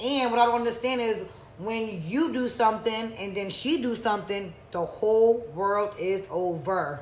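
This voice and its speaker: A woman speaks in a fairly high pitch, with an animated tone. Her pace is fairly slow and her pitch varies in an ordinary way. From US, Georgia King Village housing community. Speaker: podcast co-host. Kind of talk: casual chat. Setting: studio streamed live on YouTube.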